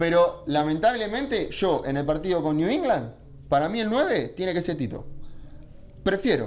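A man with an Argentine accent speaks at a moderate pace in a high pitch, making very wide pitch swings amid audible room echo. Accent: Argentine (Rioplatense) Spanish. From Argentina. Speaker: football pundit. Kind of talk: casual chat.

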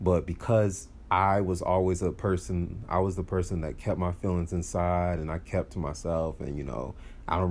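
Relaxed in tone, a man with a very deep, low pitch talks at a moderate pace. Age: 20s. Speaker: podcast host. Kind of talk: casual monologue. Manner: halting, many fillers and restarts.

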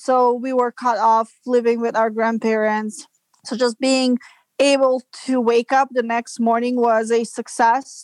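In a dry, close sound with no echo, a woman with a Serbian accent talks slowly at a high pitch with monotone, flat intonation. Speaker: business development manager. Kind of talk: interview. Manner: halting.

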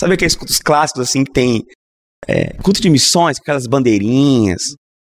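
Recorded with a dry, close sound and no echo, a man speaks fairly quickly at a medium pitch with lively intonation. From Minas Gerais, Brazil (Governador Valadares). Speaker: Anglican bishop and pastor. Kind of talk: casual interview conversation.

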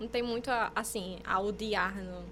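Over noticeable background noise, the speaker goes at a fairly slow pace. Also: woman. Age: 20s. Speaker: journalism student podcast co-host. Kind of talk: casual chat. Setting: studio.

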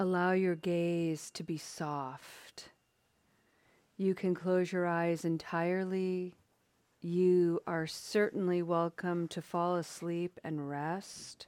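Very slowly, a woman speaks at a fairly low pitch in a monotone, flat intonation. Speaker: meditation facilitator. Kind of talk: guided meditation. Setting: video call. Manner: calm, soothing, unhurried, gentle; warm, welcoming.

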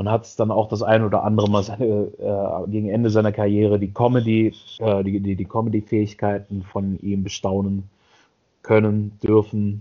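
Delivered at a moderate pace, the speech has monotone, flat intonation and big swings in loudness. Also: man, fairly low pitch for a man. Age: 30s. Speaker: podcast co-host. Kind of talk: casual chat.

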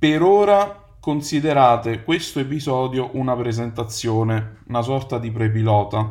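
Lively in intonation, a man at a medium pitch talks at a fairly slow pace with hardly any pauses, amid audible room echo. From Naples, Italy. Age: 30s. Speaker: podcast host, advertising copywriter. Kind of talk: solo podcast monologue.

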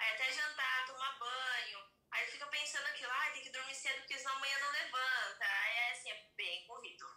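A woman speaks in a raised, projected voice at a fairly quick pace, her high pitch held to fairly even intonation, with audible echo in the room. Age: 30s. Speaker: podcast guest. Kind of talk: casual chat.

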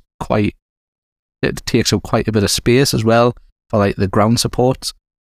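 In a normal speaking voice, a man talks at a medium pitch and a moderate pace. The recording is very clean and dry, with a close sound, no echo and a silent background. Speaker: podcast host. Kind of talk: casual chat.

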